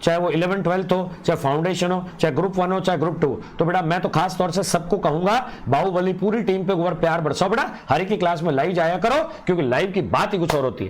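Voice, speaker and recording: A high-pitched male voice with audible room echo. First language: Punjabi (speaking Hindi). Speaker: online exam-prep teacher. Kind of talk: live online lecture. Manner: animated.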